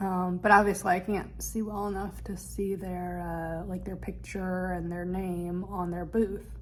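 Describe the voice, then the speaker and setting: A woman at a fairly slow pace with hardly any pauses, in audible room echo. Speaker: vlogger, film and TV actor. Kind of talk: travel vlog. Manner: casual, with hesitations.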